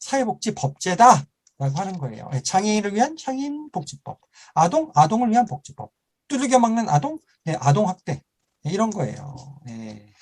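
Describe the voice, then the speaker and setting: A man speaks in a high voice, with very wide pitch swings and big swings in loudness. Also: moderate pace, dry, close sound with no echo. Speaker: lecturer. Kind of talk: online lecture. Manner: animated.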